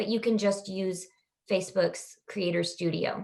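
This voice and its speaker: Here a woman speaks with a Kansas accent. Her intonation stays fairly even. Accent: Kansas, US Midwest. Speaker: digital marketing agency owner. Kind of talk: podcast interview answer. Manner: casual, hesitant.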